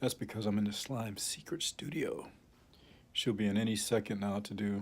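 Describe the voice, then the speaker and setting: A man's soft-spoken, raspy put-on character voice, fairly low in pitch, at a moderate pace. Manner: secretive.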